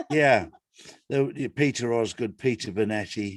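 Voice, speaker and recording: A man speaks with an East Anglian accent. His pitch variation is ordinary. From England, Ipswich area. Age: 60s. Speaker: guest. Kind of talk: casual chat.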